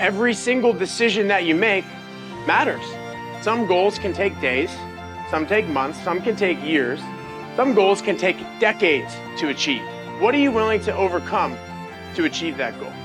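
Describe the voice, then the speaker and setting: A man with an American accent at a moderate pace, long, frequent pauses, and music in the background. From United States. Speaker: Olympic BMX champion and motivational speaker. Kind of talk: motivational keynote speech.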